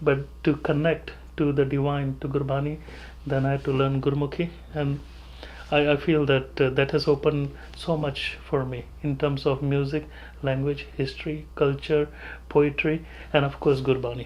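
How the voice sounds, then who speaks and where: A man speaks with a Punjabi accent in a flat, monotone delivery at a moderate pace. His voice is fairly high and somewhat breathy. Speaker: pediatrician. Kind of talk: interview. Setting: office.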